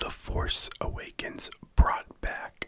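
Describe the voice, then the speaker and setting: A man is whispering. His pace is very slow. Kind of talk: ASMR whispered fact narration for sleep. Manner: whispered, soft-spoken.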